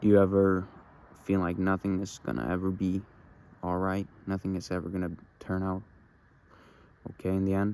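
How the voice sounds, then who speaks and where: With a very deep, low pitch and a dark, mellow tone, a man talks at a fairly quick pace in a flat monotone, leaving long, frequent pauses. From Norway. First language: Norwegian. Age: young. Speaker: vlogger. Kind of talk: personal confessional monologue. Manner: halting.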